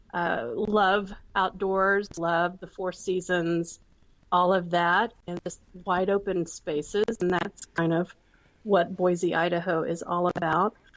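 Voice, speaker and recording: Speaking very slowly in a Southern US accent, a woman uses a medium pitch and fairly even intonation. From Texas. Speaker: entrepreneur, former counselor. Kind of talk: interview.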